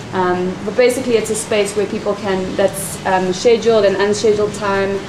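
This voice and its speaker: Over noticeable background noise and audible room echo, a woman at a medium pitch speaks at a moderate pace with flat, monotone intonation. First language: not English. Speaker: workshop participant presenting group plan. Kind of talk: group presentation.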